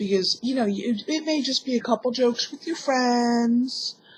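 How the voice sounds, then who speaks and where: A woman talks at a moderate pace in a normal speaking voice. Her pitch is fairly high with ordinary pitch variation. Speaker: vlogger. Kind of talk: personal vlog monologue.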